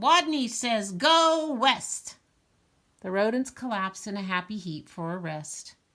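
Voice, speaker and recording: Using a put-on, squeaky character voice with a fairly high pitch, a woman speaks at a fairly slow pace. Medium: read story.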